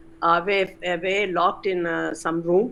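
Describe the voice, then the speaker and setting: A woman speaks at a fairly low pitch with vocal fry. Her moderate pace carries monotone, flat intonation. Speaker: retired chemistry professor. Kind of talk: interview. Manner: halting.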